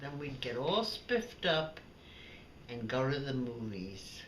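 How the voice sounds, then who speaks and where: With a New York accent, a woman speaks in a very deep, low voice and lively intonation, amid audible room echo and noticeable background noise. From Brooklyn, New York. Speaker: elderly woman recounting childhood memories. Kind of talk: family storytelling, reminiscence.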